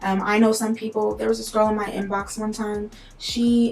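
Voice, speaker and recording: A woman with an unremarkable speaking voice talks at a moderate pace, her fairly high pitch held to fairly even intonation. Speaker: tarot reader, video creator. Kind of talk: casual talk-to-camera advice video. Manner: casual, conversational with fillers.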